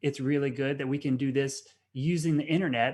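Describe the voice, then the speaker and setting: A fairly high-pitched man with a Southern US accent, ordinary pitch variation and a moderate pace, on a very clean recording with a silent background. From US Southeast. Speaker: science cafe host. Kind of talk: live-stream hosting. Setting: video stream.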